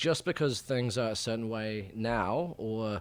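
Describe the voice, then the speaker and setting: A man with a medium pitch and ordinary pitch variation is heard on a very clean recording with a silent background. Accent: New Zealand. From New Zealand. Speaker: journalist. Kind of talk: interview. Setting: studio. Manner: halting, many fillers.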